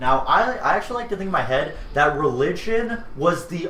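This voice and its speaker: A loud man speaks with very wide pitch swings. Audible room echo and noticeable background noise fill the recording. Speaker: gaming streamer. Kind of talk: casual chat. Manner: halting.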